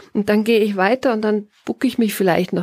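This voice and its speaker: A woman speaks at a fairly quick pace with a Bavarian accent. Her tone is dark and mellow, and the sound is dry and close with no echo. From Bavaria, Tegernsee valley. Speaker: author and forest bathing guide. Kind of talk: interview. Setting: garden hut with wood stove.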